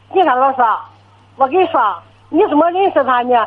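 A woman with a high-pitched voice speaks with lively intonation. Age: 70s. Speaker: elderly caller, retiree. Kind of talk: phone-in call. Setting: phone call. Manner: fluent and brisk. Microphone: poor phone line.

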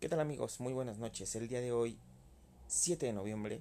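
The voice carries a Mexican accent and a dark, mellow tone with ordinary pitch variation. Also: man. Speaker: beer podcaster. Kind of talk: casual monologue. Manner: halting, many repetitions.

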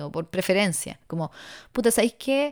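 On a very clean recording with a silent background, a woman speaks with a Chilean accent. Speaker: podcaster. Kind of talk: solo monologue. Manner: rambling, halting.

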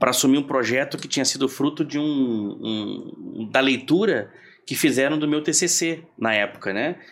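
This very clean recording with a silent background captures a man speaking at a moderate speed. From Porto Alegre, southern Brazil. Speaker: project manager and consultant. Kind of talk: casual chat. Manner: halting, repeats words.

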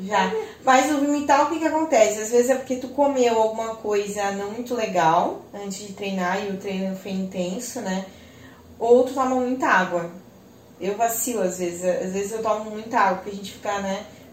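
The speaker talks at a moderate pace with ordinary pitch variation and big swings in loudness, over audible room echo and noticeable background noise. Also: woman, fairly high pitch for a woman. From Joinville, Santa Catarina, southern Brazil. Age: 30s. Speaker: lawyer. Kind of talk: casual chat. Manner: animated.

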